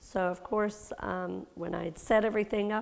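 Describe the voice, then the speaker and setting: Vocal fry runs through this woman's speech. Her pitch varies in an ordinary way. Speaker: class teacher. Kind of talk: informal class talk. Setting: church class, recorded. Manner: hesitant, many ums.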